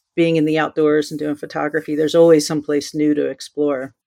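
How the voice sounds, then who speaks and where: On a very clean recording with a silent background and a dry, close sound with no echo, a woman with an American accent speaks at a fairly quick pace in a very deep, low pitch with fairly even intonation. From New Jersey. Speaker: wildlife photographer. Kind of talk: casual interview.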